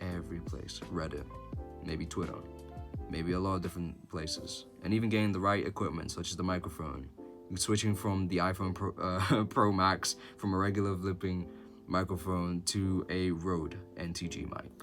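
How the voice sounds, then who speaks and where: With music in the background, a man talks at a moderate pace in a very deep, low pitch with ordinary pitch variation. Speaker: voice actor. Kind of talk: casual talk to camera.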